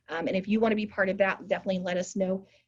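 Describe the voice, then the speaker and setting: The speech moves at a very fast pace. The voice sounds somewhat breathy. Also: woman. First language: American Sign Language. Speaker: community organizer / workshop host. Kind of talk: online workshop presentation. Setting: video call.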